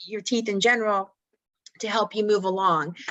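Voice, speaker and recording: A woman with a fairly high pitch and a plain, everyday voice at a moderate pace. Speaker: dental hygienist. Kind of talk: casual interview conversation.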